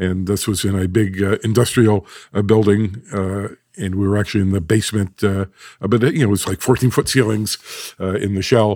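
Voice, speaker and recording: A man has an unremarkable speaking voice, fairly low in pitch. His intonation is fairly even. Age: 60s. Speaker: acoustics company founder. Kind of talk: interview.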